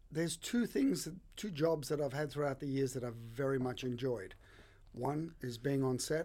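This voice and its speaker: With an Australian accent, a man talks in a dark, mellow tone with ordinary pitch variation. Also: fairly high pitch for a man, moderate pace. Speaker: bartender. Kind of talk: casual interview chat.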